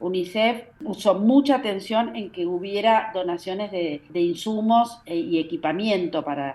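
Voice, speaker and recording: A woman speaks at a medium pitch. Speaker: NGO director. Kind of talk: interview. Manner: fast.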